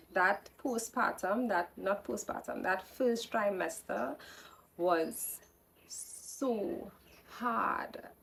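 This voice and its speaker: A woman with a medium pitch speaks at a very slow pace. Her intonation is lively, with vocal fry. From Trinidad. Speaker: podcast host sharing birth story. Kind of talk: personal storytelling. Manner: casual, with self-corrections.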